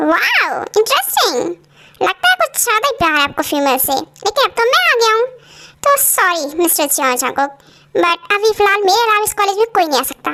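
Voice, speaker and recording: A woman puts on a squeaky character voice at an extremely high pitch. Her pitch swings very widely as she talks at a fairly quick pace. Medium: audio drama. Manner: calm, composed.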